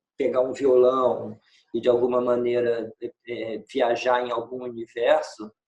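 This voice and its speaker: In a flat monotone, a man speaks at a medium pitch and a fairly slow pace. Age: 60s. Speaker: film director. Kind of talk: interview. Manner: halting.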